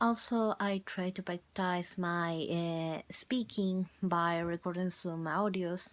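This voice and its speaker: A woman with a Spanish accent and a fairly low pitch, very slow pace with hardly any pauses, fairly even intonation, and a very clean recording over a silent background. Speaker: university student. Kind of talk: video journal. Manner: halting.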